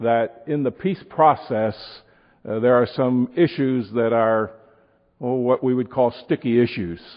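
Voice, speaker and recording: The speaker talks at a moderate pace with an Upper Midwest accent. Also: man. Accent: Upper Midwest American. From Wisconsin, Milwaukee. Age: old. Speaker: pastor and prophecy teacher. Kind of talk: sermon.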